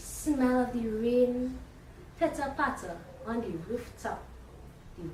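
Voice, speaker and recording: At a fairly slow pace, a woman with a fairly high pitch speaks amid audible room echo. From Trinidad and Tobago. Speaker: spoken word poet. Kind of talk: spoken word poetry. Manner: rhythmic.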